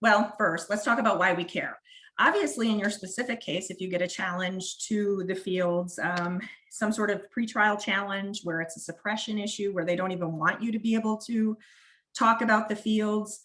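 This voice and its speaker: Speaking with a Wisconsin accent, a woman keeps her intonation fairly even. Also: medium pitch for a woman, moderate pace. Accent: northern US (Wisconsin). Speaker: prosecutor. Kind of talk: webinar presentation. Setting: online webinar.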